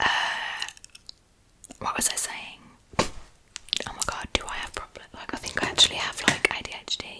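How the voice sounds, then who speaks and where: Whispering at a fairly quick pace, with long, frequent pauses and noticeable background noise. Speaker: ASMR creator. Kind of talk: whispered ASMR ramble. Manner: whispered.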